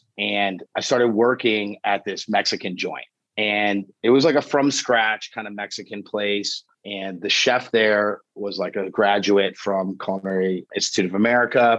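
Against a quiet background, a man with a normal speaking voice talks at a moderate pace, his pitch fairly low and his intonation fairly even. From Florida. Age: 40s. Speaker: chef. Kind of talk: casual chat.

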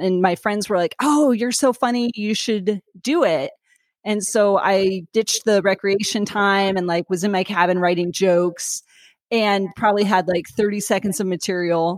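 A woman with a normal speaking voice and an American accent, at a medium pitch and moderate pace, with ordinary pitch variation, very even loudness and a dry, close sound with no echo. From Sacramento, California. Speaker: stand-up comedian. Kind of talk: casual interview. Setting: video call.

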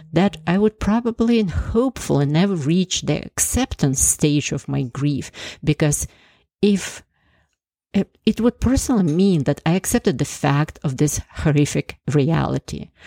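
Very deep and low, a woman's voice moves through very wide pitch swings at a fairly slow pace, with a dry, close sound and no echo. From Ukraine. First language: Ukrainian or Russian. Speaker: cardiologist and podcast host. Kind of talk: scripted narration.

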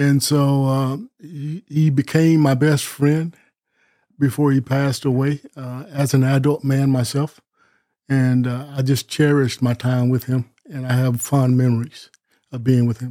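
A man's medium-pitched, dark and mellow voice with an American accent, fairly slow and monotone, recorded dry and close with no echo. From US South (Columbus, Georgia area). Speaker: minister and evangelist. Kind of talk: interview conversation.

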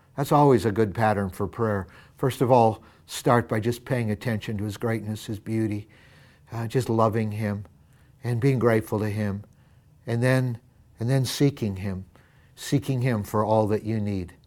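On a very clean recording with a silent background, a man speaks at a moderate pace in a medium pitch, his intonation fairly even and his speech broken by long, frequent pauses. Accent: American. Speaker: pastor. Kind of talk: fervent prayer, led aloud with a devotional tone, speaking to God; devotional sermon-style address with scripture reading. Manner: earnest, heartfelt, warm and reverent; rising intensity, emphatic repetition.

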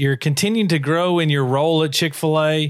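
Using an unremarkable speaking voice, a man talks at a fairly high pitch and moderate pace with ordinary pitch variation. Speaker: podcast co-host. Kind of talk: casual interview.

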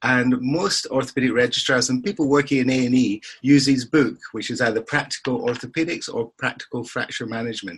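A man's medium-pitched, fairly bright voice with a slightly husky edge, at a fairly quick pace with ordinary pitch variation.

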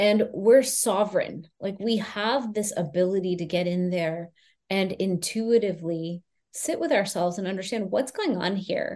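A woman speaks in an ordinary speaking voice at a moderate pace, with medium pitch and ordinary pitch variation. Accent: American. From US, Houston, Texas. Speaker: Ayurvedic practitioner. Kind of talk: interview.

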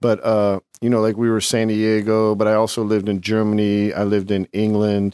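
At a fairly quick pace, a man with an American accent and a dark, mellow tone speaks in a monotone, flat intonation, the sound dry and close with no echo. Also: fairly low pitch for a man, very even loudness. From California, military family moving often. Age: 50s. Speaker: ex-convict filmmaker and author. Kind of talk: casual interview. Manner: halting, many fillers.

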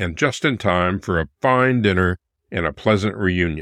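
A man with an ordinary speaking voice and lively intonation talks at a moderate pace, recorded very cleanly with a silent background and a dry, close sound with no echo. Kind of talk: period letter reading. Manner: formal, measured, warm period-style delivery; earnest, affectionate, steady pacing.

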